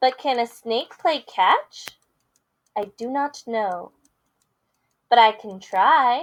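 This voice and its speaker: Using a put-on character voice, a woman speaks in a high pitch. Her pace is very slow, with long, frequent pauses. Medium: read story. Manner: bubbly, eager.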